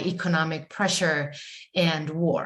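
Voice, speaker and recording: The woman's voice is fairly low and flat, in a monotone. Audible echo from the room surrounds it. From Chile. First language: Spanish. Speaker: writer. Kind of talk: panel discussion. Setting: video call. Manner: halting, many fillers.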